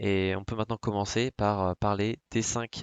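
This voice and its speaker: A man at a fairly low pitch and moderate pace, in a monotone, flat intonation. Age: 20s. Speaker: finance YouTuber. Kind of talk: presentation to camera. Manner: hesitant, many fillers.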